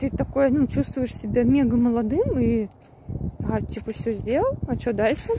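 A woman speaks at a high pitch and a fairly slow pace. The sound is dry with no echo, over light background noise. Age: 30s. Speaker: travel vlogger; vlogger. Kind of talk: monologue vlog. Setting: outdoors, walking. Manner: casual, hesitant. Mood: reflective, thoughtful. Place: open country. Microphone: phone near.

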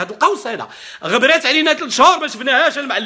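A man talks at a very fast pace in a raised, projected voice with lively intonation. His tone is animated, and the background is quiet. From Morocco. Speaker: political commentator. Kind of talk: political rant. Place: home room. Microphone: webcam.

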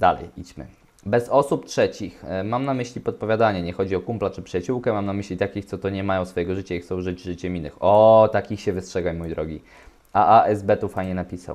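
At a very fast pace, a man speaks with fairly low pitch and ordinary pitch variation. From Poland. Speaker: relationship coach and video host; relationship advice vlogger. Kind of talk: solo commentary reading forum posts. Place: home room. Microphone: webcam.

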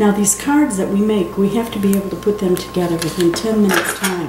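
A woman speaks at a fairly quick pace with ordinary pitch variation against noticeable background noise. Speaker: card-making demonstrator. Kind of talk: tutorial. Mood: friendly, chatty. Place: home room.

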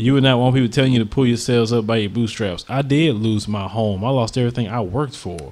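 This man's pitch sits in the medium range. He speaks very fast. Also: ordinary pitch variation. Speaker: radio talk show host. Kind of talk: call-in talk show.

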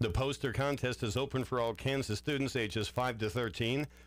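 A man speaks at a moderate pace with vocal fry and ordinary pitch variation. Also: dry sound with no echo. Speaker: radio news reader. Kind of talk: radio news and weather reading. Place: studio.

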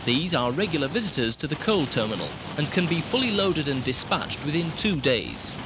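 A man at a fairly quick pace, dry sound without echo, noticeable background noise. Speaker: narrator of a promotional film. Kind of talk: documentary narration.

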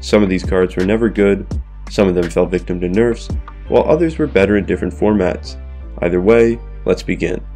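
Music plays in the background as a man speaks at a fairly quick pace. His very deep, low voice makes very wide pitch swings. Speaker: gaming content creator. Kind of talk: video game commentary narration. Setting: recorded without usual microphone.

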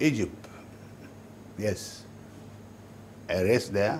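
Speaking very slowly in a Nigerian accent, a man with a fairly low pitch sounds somewhat breathy, with ordinary pitch variation and light background noise. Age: 80s+. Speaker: businessman; interviewee. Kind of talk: interview. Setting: at home. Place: home room.

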